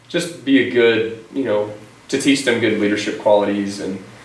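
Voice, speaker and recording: Noticeable background noise and audible room echo surround a man speaking at a fairly quick pace, fairly low in pitch, with a Texan accent. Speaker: teacher and coach. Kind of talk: interview. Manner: energetic; loud.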